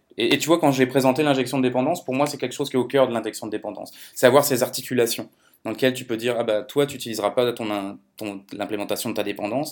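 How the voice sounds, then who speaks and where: A man's medium-pitched voice at a very fast pace, with fairly even intonation and a very clean recording against a silent background. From France. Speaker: software developer. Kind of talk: casual technical chat.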